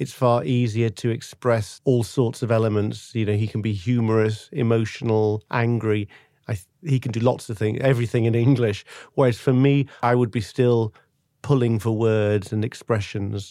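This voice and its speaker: Dark and mellow in tone, a man speaks at a medium pitch with fairly even intonation and a moderate pace. The recording is very clean, with a silent background. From northern England, Manchester. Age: 50s. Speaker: podcast guest, partner in a multilingual couple. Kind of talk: casual interview chat. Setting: studio.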